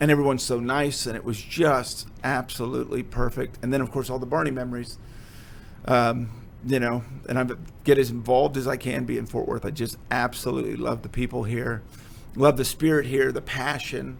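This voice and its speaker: With an American accent, a man talks at a medium pitch with vocal fry. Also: fairly quick pace. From Texas. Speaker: photographer and former children's TV performer. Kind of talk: casual interview chat. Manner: animated.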